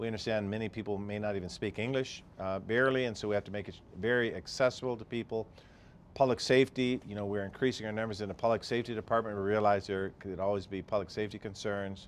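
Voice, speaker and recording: A man talking at a very fast pace with fairly even intonation over light background noise. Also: fairly low pitch for a man. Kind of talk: interview answer. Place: office. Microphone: lapel.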